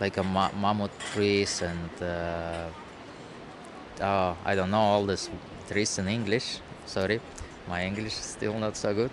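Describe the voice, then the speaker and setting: With long, frequent pauses, a man speaks at a fairly slow pace in a monotone, flat intonation. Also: fairly low pitch for a man. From Russia. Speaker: nomad street musician and shaman. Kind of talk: interview. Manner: halting.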